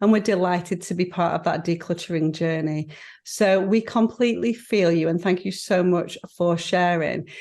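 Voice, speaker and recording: A woman with a northern English accent, a fairly low pitch and fairly even intonation, against a quiet background. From northern England. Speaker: podcast co-host. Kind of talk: casual chat. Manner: fast.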